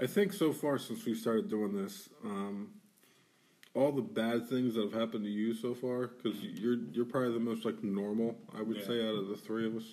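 A man with an ordinary speaking voice keeps his intonation fairly even, his pitch medium and his pace moderate. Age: 30s. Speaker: podcast co-host. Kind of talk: casual chat.

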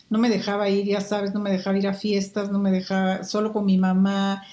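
A woman's somewhat breathy, medium-pitched voice at a fairly quick pace, with a Mexican accent. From Guatemala, Quetzaltenango. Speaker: market researcher. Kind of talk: interview. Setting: video call.

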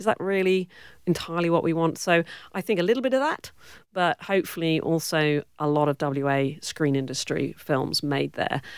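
On a very clean recording with a silent background, a woman with a British accent speaks with ordinary pitch variation. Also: fairly low pitch for a woman, moderate pace. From Cornwall, southwest England. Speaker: film producer and director. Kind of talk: interview. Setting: studio.

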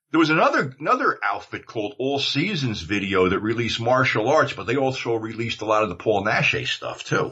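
A man with an American accent talks at a fairly quick pace in a plain, everyday voice. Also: medium pitch for a man, ordinary pitch variation. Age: 60s. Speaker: former video industry insider. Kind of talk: casual chat.

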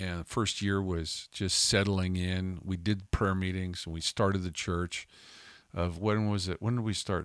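A man speaks at a fairly slow pace in a very deep, low pitch. His intonation is monotone and flat, on a very clean recording with a silent background. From Calgary, Canada. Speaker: podcast co-host, ministry leader. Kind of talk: casual chat.

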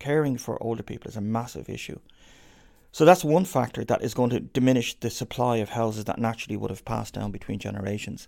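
A man with a Dublin accent talks at a very fast pace, with a medium pitch, ordinary pitch variation and a dark, mellow tone. The recording is very clean with a silent background. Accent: Dublin Irish. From Ireland, inner city Dublin. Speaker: professor and research institute director. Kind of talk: interview.

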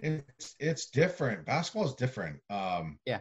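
Speaking at a fairly slow pace with an American accent, a man sounds somewhat breathy, and his pitch swings very widely. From central Massachusetts. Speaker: college baseball umpire. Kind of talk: casual chat.

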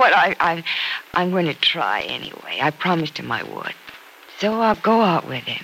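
Putting on a character voice, a woman speaks low for a woman, with big pitch swings, vocal fry, a fairly bright tone and a moderate pace.

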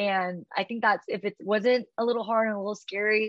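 At a fairly quick pace, a woman talks in a fairly high pitch. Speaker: fitness business founder. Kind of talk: interview. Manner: loud; animated.

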